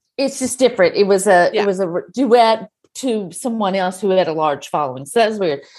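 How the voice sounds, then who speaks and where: A woman with an American accent talks at a fairly quick pace in a medium pitch with ordinary pitch variation. She has an ordinary speaking voice, and the background is quiet. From Texas. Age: 50s. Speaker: podcast co-host, author. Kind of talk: casual interview.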